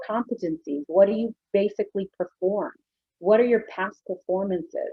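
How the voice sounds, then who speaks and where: A normal speaking voice at a moderate pace. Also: woman. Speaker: business workshop presenter. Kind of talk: webinar presentation.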